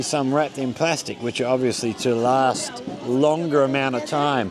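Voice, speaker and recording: A man talks at a fairly slow pace in a fairly high voice. Music plays in the background, and the room echo is audible. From Australia. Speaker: vlogger living abroad. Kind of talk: casual vlog narration.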